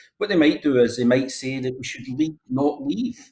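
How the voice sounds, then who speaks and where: A man with a Glasgow accent talks at a moderate pace and a medium pitch, somewhat breathy, with lively intonation. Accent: Scottish, Glasgow. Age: 60s. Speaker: politician. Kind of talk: current affairs interview.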